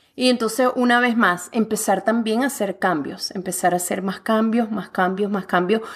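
A woman speaks at a moderate pace with hardly any pauses. Her fairly high voice shows ordinary pitch variation. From Venezuela. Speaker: author and fitness coach. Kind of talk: interview conversation.

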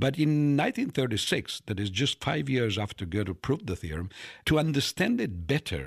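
In an Italian accent, a man with medium pitch swings his voice very widely at a moderate pace, the sound dry and close with no echo. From Italy, Turin. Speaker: mathematics professor. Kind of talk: interview. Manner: frequent fillers like you know and right.

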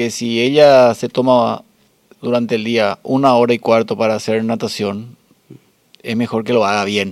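A man with an unremarkable speaking voice, medium in pitch and fairly slow in pace. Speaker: podcast host and masters swimmer. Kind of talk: interview.

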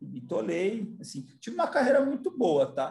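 Pitch swings very widely as a man talks at a fairly slow pace. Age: 40s. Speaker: business executive. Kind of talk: interview.

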